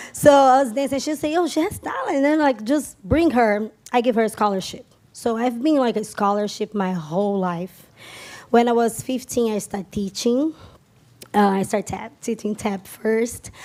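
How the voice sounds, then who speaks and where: Lively in intonation and fairly high in pitch, a woman's voice with a dark, mellow tone moves at a moderate pace in a very clean recording with a silent background. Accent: strong Brazilian. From Brazil, São Paulo area. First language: Portuguese. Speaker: tap dancer and dance teacher. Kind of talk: stage interview. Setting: stage with audience.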